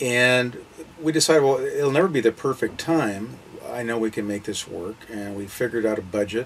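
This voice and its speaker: Through noticeable background noise, a man talks at a moderate pace and medium pitch with ordinary pitch variation. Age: 60s. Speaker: retired full-time RVer and part-time insurance agent. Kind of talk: interview.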